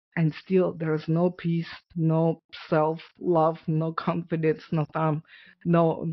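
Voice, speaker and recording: In a Russian accent, a woman speaks at a very deep, low pitch. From Ukraine. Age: 40s. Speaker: author and abuse survivor. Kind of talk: testimony.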